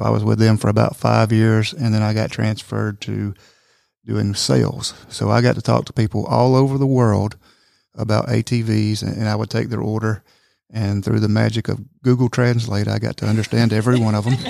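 A man speaks with a Georgia accent. The recording is very clean, with a silent background. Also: moderate pace. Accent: US Southern (Georgia). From Northwest Georgia, Somerville. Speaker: manufacturing company public relations. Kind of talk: casual chat.

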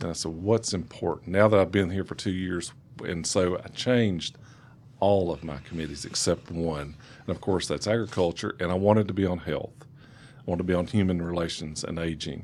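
The speaker has a Southern US accent and a fairly quick pace. The intonation is fairly even, with big swings in loudness. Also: man, very deep, low pitch for a man. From East Tennessee, US South. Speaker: state legislator. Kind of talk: radio interview. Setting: studio.

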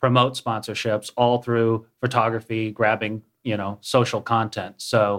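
A man with an American accent speaks in an unremarkable speaking voice at medium pitch, using fairly even intonation at a fairly slow pace. The recording is very clean, with a silent background. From Minnesota. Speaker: app startup CEO. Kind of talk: radio interview.

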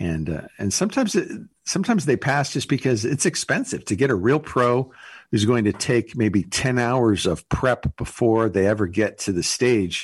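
Lively intonation carries an ordinary speaking voice at a moderate pace over a quiet background. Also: man, medium pitch for a man. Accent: American. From US West Coast, Los Angeles. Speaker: comedy entertainment agency owner. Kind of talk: radio interview.

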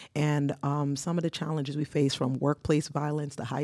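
A woman's very deep, low voice with a dark, mellow tone, at a moderate pace, on a very clean recording with a silent background. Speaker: nurse and nonprofit founder. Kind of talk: studio interview. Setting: studio.

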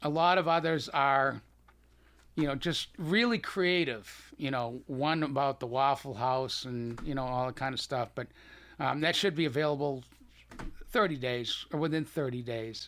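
At a moderate pace, a man with a slight Boston accent speaks at a fairly high pitch with ordinary pitch variation. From Boston, US. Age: 70s. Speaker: cancer survivor and author. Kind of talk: casual radio interview.

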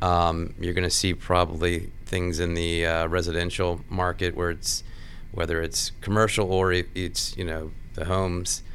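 In an American accent, a man talks at a very deep, low pitch and a moderate pace, his intonation monotone and flat, with audible room echo around him. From Washington D.C. area. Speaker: construction executive. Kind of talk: casual interview.

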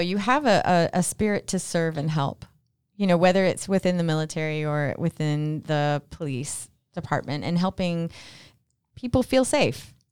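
Lively intonation marks a woman's fairly low-pitched, plain, everyday voice. She speaks at a moderate pace in a very clean recording with a silent background. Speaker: radio host. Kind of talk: interview. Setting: studio.

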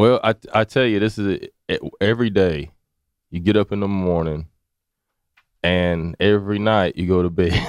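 Long, frequent pauses break up a man's speech at a moderate pace. His fairly low voice has fairly even intonation and a dry, close sound with no echo. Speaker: media studio owner. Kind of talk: casual interview.

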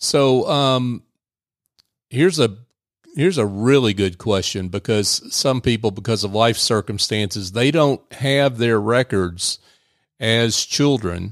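A man talks in an unremarkable speaking voice at a fairly slow pace. His pitch is medium with ordinary variation, and his loudness very even. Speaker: producer and co-host. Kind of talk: casual banter and interview questions. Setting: remote studio at a bank, video call.

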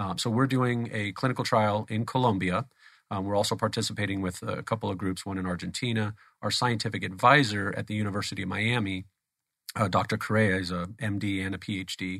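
With an American accent, a man talks in an ordinary speaking voice at a fairly low pitch. His pace is fairly quick and his intonation fairly even. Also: very clean recording, silent background. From Phoenix, Arizona. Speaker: stem cell therapy company CEO. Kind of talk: interview. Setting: studio.

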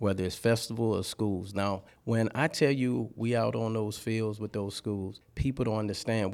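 A man with a Louisiana accent, fairly low pitch, moderate pace and fairly even intonation on a very clean recording with a silent background. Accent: Louisiana Southern US. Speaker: party rental business owner. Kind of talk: radio interview. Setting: studio.

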